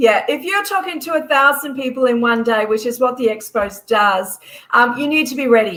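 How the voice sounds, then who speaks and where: A woman with an Australian accent speaks in a high voice. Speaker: expo organiser. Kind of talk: casual chat. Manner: fast; animated.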